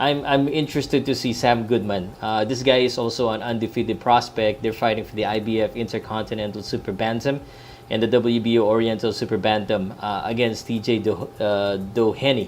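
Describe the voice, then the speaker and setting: A man with a Filipino accent at a medium pitch, fairly quick pace and fairly even intonation, with hardly any pauses. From Philippines. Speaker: sports vlogger. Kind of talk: live boxing talk stream. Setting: laptop live stream at in-laws' house. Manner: hesitant, many fillers. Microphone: laptop and earbuds, not usual mic.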